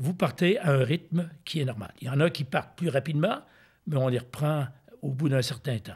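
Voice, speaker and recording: A somewhat breathy man's voice of fairly high pitch with ordinary pitch variation. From Quebec City, Canada. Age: 70s. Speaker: retired ultramarathon runner. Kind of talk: interview answer.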